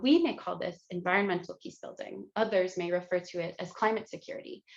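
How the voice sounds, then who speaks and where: A woman speaks at a fairly quick pace. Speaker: community organizer. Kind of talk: conference talk. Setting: video call. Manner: hesitant, many fillers.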